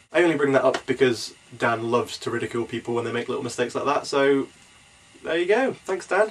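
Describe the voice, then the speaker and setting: Over noticeable background noise, a man talks at a very fast pace with a fairly high pitch and lively intonation. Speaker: podcast host. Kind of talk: casual vlog chat.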